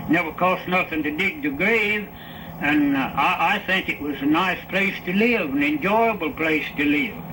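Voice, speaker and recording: Over noticeable background noise, a man with a high voice speaks at a fairly slow pace, with ordinary pitch variation and hardly any pauses. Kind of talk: interview answer. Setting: old archival recording.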